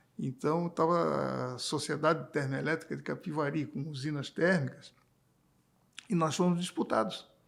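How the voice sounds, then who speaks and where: In an ordinary speaking voice, a man with a fairly high pitch talks at a moderate pace with fairly even intonation. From Brazil, Santa Catarina (Florianópolis), born in Paraná. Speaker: electricity sector executive and engineer. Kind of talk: interview.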